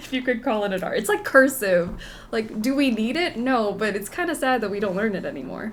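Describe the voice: The pitch varies an ordinary amount in this plain reading aloud.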